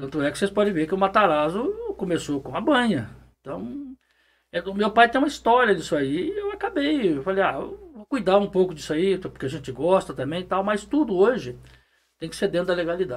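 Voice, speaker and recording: At a fairly quick pace, a man speaks with a high pitch. His voice shows very wide pitch swings and big swings in loudness. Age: 60s. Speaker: municipal official and pig farmer. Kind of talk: interview.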